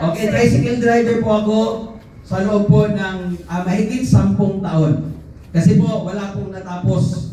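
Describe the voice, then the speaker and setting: Through noticeable background noise and audible room echo, a man with a high pitch talks at a fairly slow pace in an animated tone with ordinary pitch variation. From Mindanao, Philippines (Pagadian City). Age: 40s. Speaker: network marketing dealer, former tricycle driver. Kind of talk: motivational seminar talk.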